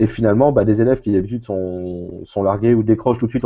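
Against a quiet background, a man talks very fast at a fairly low pitch with ordinary pitch variation. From central France. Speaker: math teacher. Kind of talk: casual chat. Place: home room. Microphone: earbuds.

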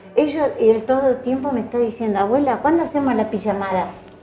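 A woman's fairly high, lively voice at a fairly quick pace, with audible room echo and music in the background. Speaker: retiree and community volunteer. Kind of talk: interview. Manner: cheerful.

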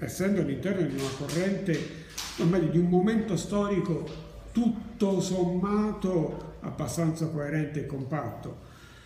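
With light background noise and audible room echo, a man speaks fairly slowly in a high pitch with ordinary pitch variation. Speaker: university lecturer. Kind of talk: lecture. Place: classroom.

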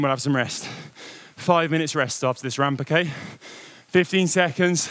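At a fairly quick pace, a man speaks in a dry sound with no echo. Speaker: indoor cycling coach. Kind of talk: workout coaching instructions. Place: studio. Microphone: lapel.

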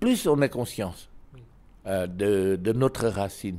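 A man's voice comes through with a dark, mellow tone. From Laos. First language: Lao (speaking French). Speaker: ambassador; interviewee. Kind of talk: interview. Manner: halting, frequent hesitations. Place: home room. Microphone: handheld.

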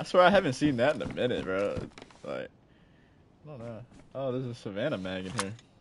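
With an American accent, a man talks at a very fast pace broken by long, frequent pauses, his loudness swinging widely amid audible room echo. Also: medium pitch for a man. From Jacksonville, Florida. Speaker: gaming streamer. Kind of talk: casual chat.

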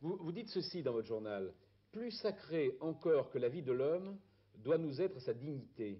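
A man's fairly high voice moves in very wide pitch swings. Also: moderate pace. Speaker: TV interviewer. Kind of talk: interview questions. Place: home room.

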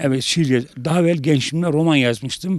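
Against a quiet background, a man with a fairly high, dark, mellow voice speaks with ordinary pitch variation, the sound dry with no echo. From Elazığ, eastern Turkey. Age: 70s. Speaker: poet and writer, retired civil servant. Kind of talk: interview answer. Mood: earnest, appealing for sponsors. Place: open country. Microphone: handheld.

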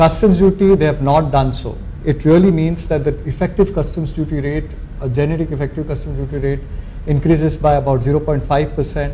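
Fairly high-pitched male speech at a fairly quick pace, fairly even in intonation, with noticeable background noise. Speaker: indirect tax partner. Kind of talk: presentation on tax budget.

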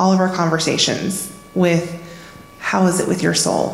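Speech in a flat monotone comes at a fairly slow pace, with audible room echo. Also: woman. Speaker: church member. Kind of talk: testimony. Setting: church. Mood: warm, earnest. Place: church. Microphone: handheld.

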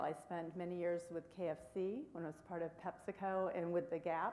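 A woman's fairly low, dark and mellow voice with ordinary pitch variation at a moderate pace, with light background noise. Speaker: healthcare executive. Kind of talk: panel discussion. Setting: stage with audience. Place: stage. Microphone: podium.

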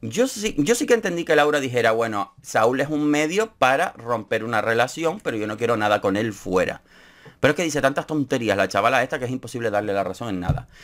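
Talking in a Canarian accent, a man uses an animated tone and lively intonation at a medium pitch. His pace is fairly quick, and the background is quiet. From Canary Islands (Gran Canaria); Canary Islands. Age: 30s. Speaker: YouTuber, TV show commentator. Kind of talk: casual commentary vlog. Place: home room.

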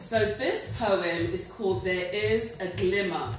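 Noticeable background noise and audible room echo around a woman's fairly low-pitched voice. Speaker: poet giving a reading. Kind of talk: author talk to audience. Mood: nervous but warm. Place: hall. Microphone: camera far.

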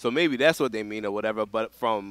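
A man with an American accent, lively intonation, a dry sound with no echo and a quiet background. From Philadelphia, US. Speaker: veteran competitive gamer; podcast guest, gamer. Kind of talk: casual chat. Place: studio.

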